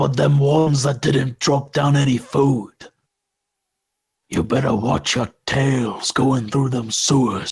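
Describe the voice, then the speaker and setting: A man puts on a gravelly character voice at a medium pitch. His pace is fairly slow. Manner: threatening.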